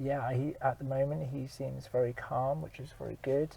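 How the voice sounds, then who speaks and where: A man speaks at a fairly slow pace and sounds somewhat breathy. His loudness swings widely. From Germany, moved to UK at about eleven. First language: German. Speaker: actor and outdoor activity worker. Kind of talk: casual interview chat. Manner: hesitant, many ums and uhs.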